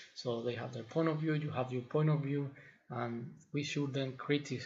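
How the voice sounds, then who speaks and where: With a non-native accent, the speaker sounds somewhat breathy and keeps the intonation fairly even. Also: man. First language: not English. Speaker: fitness trainer, video blogger. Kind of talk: opinion monologue to camera. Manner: halting, with fillers and repetitions.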